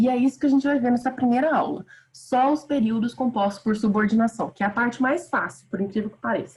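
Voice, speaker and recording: The delivery is very fast, with ordinary pitch variation and big swings in loudness. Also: woman, high pitch for a woman. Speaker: teacher. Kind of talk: online lecture. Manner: animated.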